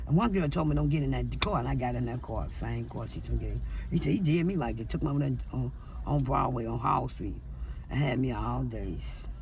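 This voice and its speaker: Speaking at a fairly quick pace with an American accent, a woman is heard with audible room echo. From St. Louis, Missouri. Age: 60s. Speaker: interviewee, former street hustler. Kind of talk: street interview, personal testimony.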